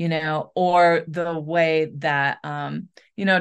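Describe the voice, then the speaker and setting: A woman with an American accent speaks at a very slow pace and a fairly low pitch. Her intonation is fairly even, and the background is quiet. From US Midwest, western Michigan. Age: 40s. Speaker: author, editor and book coach. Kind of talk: interview.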